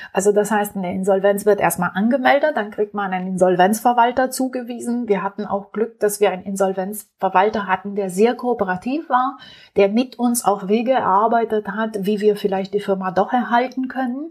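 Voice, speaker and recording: A woman speaks with a Romanian accent at a medium pitch. Her pace is fairly quick. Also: ordinary pitch variation. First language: Romanian (speaking German). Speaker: entrepreneur. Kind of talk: interview. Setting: at home.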